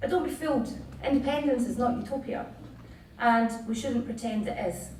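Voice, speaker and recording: A woman with a Scottish accent speaks at a moderate pace, her high voice showing ordinary pitch variation. Noticeable background noise and audible room echo fill the recording. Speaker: political campaigner. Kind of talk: political speech. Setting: theatre stage with audience. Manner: rousing, declamatory.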